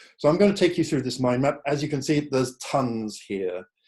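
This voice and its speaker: Dark and mellow in tone, a man's voice carries an English accent with ordinary pitch variation. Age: 60s. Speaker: psychotherapist. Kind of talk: online talk presentation. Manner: hesitant fillers.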